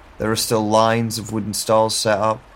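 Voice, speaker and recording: Noticeable background noise fills the recording. The man's voice is fairly low in pitch. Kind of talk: scripted first-person audio drama narration. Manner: slow, hushed, dreamy and uncertain, with halting questions; brooding, introspective, moody.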